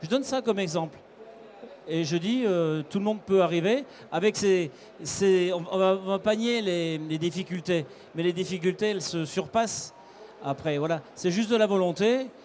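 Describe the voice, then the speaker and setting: A high-pitched male voice with long, frequent pauses. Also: ordinary pitch variation, moderate pace. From France, Haute-Loire. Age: 60s. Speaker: cattle export salesman. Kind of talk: interview.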